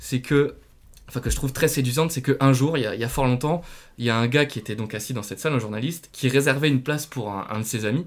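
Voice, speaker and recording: A man at medium pitch, speaking at a very fast pace. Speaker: podcast host and quiz master. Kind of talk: casual quiz show chat. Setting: studio. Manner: animated, playful. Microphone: new microphone, possible technical glitches.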